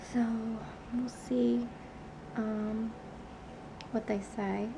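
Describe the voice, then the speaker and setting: Noticeable background noise accompanies a woman whose fairly high voice varies in pitch an ordinary amount. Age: 20s. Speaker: patient vlogger. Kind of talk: casual video diary talk to camera. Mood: calm, matter-of-fact. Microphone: phone near.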